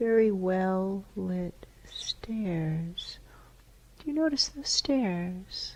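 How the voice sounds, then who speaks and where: Soft-spoken and calm, a woman talks at a very slow pace with medium pitch. Her intonation is lively. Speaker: hypnotherapist. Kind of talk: hypnotherapy session guiding a client. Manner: slow, calm, soft-spoken.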